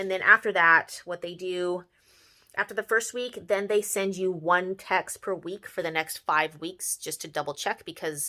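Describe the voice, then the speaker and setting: A woman speaks at a moderate pace with a bright, sharp tone and medium pitch. Her intonation stays fairly even on a very clean recording with a silent background. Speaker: vlogger and hospital worker. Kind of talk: casual vlog talk to camera.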